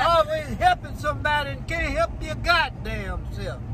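A man talks at a very slow pace. The sound is dry with no echo, over noticeable background noise. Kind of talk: heated family argument filmed on phone. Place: car. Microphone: phone near.

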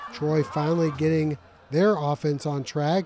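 A man speaks in an upbeat tone at a fairly slow pace, with noticeable background noise. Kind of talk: sports commentary. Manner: brisk, upbeat play-by-play delivery with rising excitement at big plays; clear, polished broadcaster narration.

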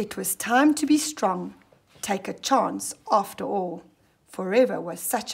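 The passage comes in a natural reading voice.

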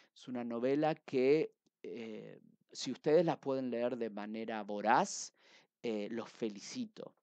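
Over a quiet background, a man with a dark, mellow tone speaks at a very slow pace with big swings in loudness. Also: ordinary pitch variation, dry sound with no echo. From Argentina. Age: 30s. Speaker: book reviewer. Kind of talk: book review monologue. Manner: hesitant with frequent fillers. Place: home room. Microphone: headset.

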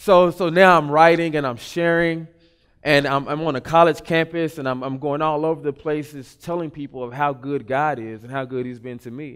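An ordinary speaking voice from a man, fairly high in pitch, with fairly even intonation, big swings in loudness and a moderate pace, over a quiet background. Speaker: spoken word poet. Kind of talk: testimony talk. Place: stage.

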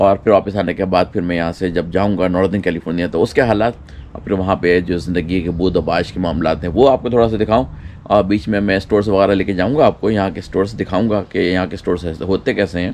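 A man's very deep, low pitch at a moderate pace, with ordinary pitch variation and light background noise. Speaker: travel vlogger. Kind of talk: casual vlog chat. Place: street. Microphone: camera far.

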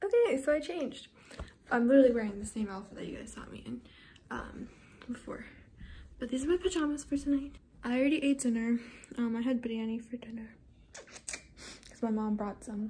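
A woman speaks at a fairly quick pace in a high, dark and mellow voice, her loudness swinging widely and her pitch varying in an ordinary way over light background noise. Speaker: vlogger. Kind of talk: casual vlog chat. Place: home room. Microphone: phone near.

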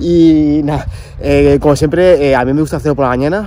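Recorded dry with no echo and light background noise, a man talks at a fairly quick pace with ordinary pitch variation. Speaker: travel vlogger. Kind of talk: casual vlog chat. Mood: excited, nervous, cheerful. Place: beach. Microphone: lapel.

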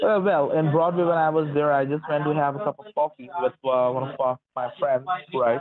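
Noticeable background noise runs under this man's fairly high voice. He keeps a moderate pace with ordinary pitch variation. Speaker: phone scammer. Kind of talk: scam phone call. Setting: phone call. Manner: halting. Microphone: phone line.

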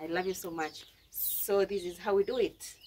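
Light background noise accompanies a woman's speech. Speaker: village life vlogger. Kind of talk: casual vlog chat. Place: kitchen. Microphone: camera far.

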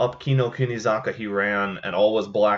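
The text is read aloud in a plain way. Nothing more is done with it.

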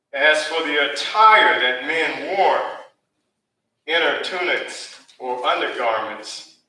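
Audible room echo around a man talking. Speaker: preacher. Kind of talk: sermon. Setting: church. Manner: animated, call-and-response, joking with the congregation. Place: church.

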